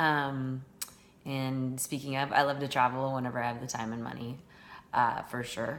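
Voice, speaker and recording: Audible room echo surrounds a woman with a Californian accent and a very deep, low pitch. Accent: General American, Californian. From Northern California. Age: 40s. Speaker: teacher. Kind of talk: self-introduction monologue. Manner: hesitant, many fillers.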